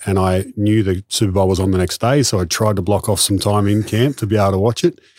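Speaking at a fairly quick pace, a man with an Australian accent has a fairly low pitch and monotone, flat intonation, recorded very cleanly against a silent background. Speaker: sports performance coach. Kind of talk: casual interview chat. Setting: in person.

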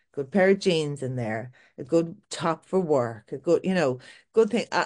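In an Irish accent, a woman speaks with lively intonation. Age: 40s. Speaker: milliner and fashion boutique owner. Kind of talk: casual interview chat. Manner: halting with frequent fillers and repetitions.

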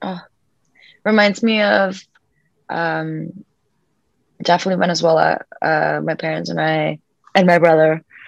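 At a moderate pace, a woman is talking. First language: Spanish. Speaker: actress. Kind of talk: casual interview chat. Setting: video call.

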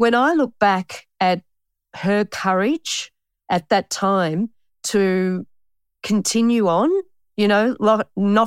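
Recorded very cleanly against a silent background with a dry, close sound and no echo, the voice moves at a very slow pace with ordinary pitch variation. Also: woman. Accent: Australian. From Australia, Melbourne (Pascoe Vale). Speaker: bookkeeper and author. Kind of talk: interview.

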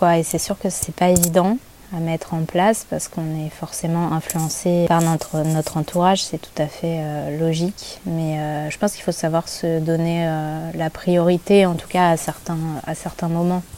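At a fairly slow pace, a woman talks in a fairly low pitch with monotone, flat intonation. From Paris region, France. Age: 30s. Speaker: photographer. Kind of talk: casual interview.

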